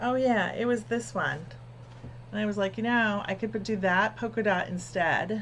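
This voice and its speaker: A woman with an American accent mumbles at a moderate pace and medium pitch with vocal fry. Her pitch swings very widely. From New Jersey. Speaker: quilting livestream host. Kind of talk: casual live-stream chat. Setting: live stream. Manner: mumbling; soft-spoken.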